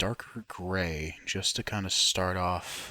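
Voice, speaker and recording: A man speaks softly, at a fairly low pitch. His tone is bright and sharp, with fairly even intonation. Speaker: YouTuber, digital artist. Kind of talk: drawing tutorial. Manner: soft-spoken, keeping voice down.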